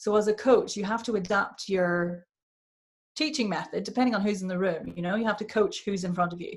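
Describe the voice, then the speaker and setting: A woman talks at a fairly quick pace and medium pitch, somewhat breathy. Her pitch varies in an ordinary way. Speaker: accent and voice coach. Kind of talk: online workshop talk. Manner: casual, conversational with fillers.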